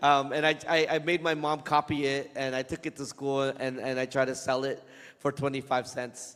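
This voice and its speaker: A man with a Vietnamese accent, fairly high pitch, flat, monotone intonation and a fairly slow pace. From Vietnam, moved to US as a child. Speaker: comic book author. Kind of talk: Q&A talk to students. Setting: school event with student audience. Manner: casual, hesitant with fillers.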